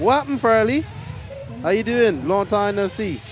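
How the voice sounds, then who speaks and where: With music in the background, a man speaks at a moderate pace in a high voice. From Bermuda. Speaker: race commentator. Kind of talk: live commentary.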